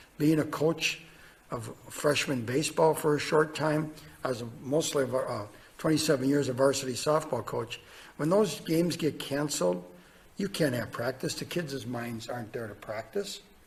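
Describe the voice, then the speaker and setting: With an American accent, a man speaks at a moderate pace in a fairly high, somewhat breathy voice. His pitch varies in an ordinary way. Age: 60s. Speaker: state legislator. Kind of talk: legislative testimony. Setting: committee hearing. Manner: halting.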